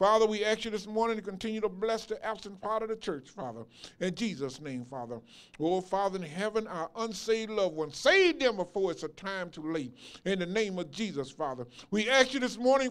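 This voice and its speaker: Here a man talks at a fairly quick pace. His pitch is high. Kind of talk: public prayer. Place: church. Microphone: handheld.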